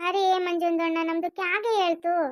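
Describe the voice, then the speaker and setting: This is a put-on character voice with an extremely high pitch. It sounds squeaky. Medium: cartoon. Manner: cheeky, stirring up trouble.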